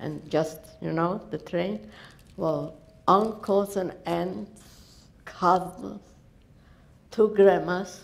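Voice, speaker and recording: The voice has vocal fry and ordinary pitch variation. It moves at a very slow pace with long, frequent pauses. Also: woman, medium pitch for a woman. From Poland, Lodz; Poland. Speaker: Holocaust survivor. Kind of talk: testimony. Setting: stage with audience. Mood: earnest, grave storytelling. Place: hall.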